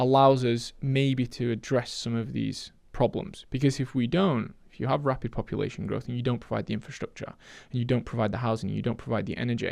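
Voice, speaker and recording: A man with a Yorkshire accent at a medium pitch, fairly even intonation, and a fairly quick pace with hardly any pauses. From northern England, Sheffield, Yorkshire. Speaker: economist. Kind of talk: podcast interview. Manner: halting, many repetitions.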